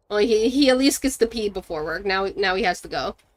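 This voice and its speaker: A woman's medium-pitched voice with ordinary pitch variation, at a fairly quick pace. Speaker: gaming streamer. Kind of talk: live gameplay commentary. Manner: stumbles over words.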